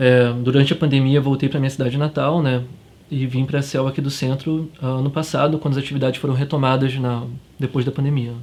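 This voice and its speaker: Fairly high-pitched and fairly quick, a man speaks in a monotone, flat intonation. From Cabo Frio, Rio de Janeiro state, Brazil. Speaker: university student. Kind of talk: documentary interview. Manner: halting.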